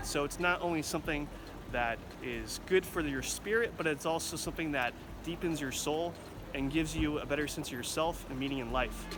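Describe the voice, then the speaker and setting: There is audible room echo as a man with a fairly high pitch speaks in an American accent. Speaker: travel reporter. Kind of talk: travel segment with narration. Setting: outdoors in a town square.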